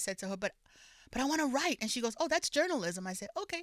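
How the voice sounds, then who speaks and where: A woman with a New York accent, bright, sharp tone, and lively intonation, in a dry, close sound with no echo on a very clean recording with a silent background. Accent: New York Bronx. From New York, Bronx. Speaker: author and public official. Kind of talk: podcast interview.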